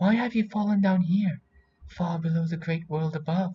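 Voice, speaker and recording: In a put-on character voice, a man speaks at a moderate pace and a high pitch. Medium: read story. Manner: soft, motherly.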